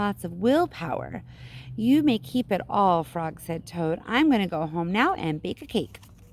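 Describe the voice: Just plain reading aloud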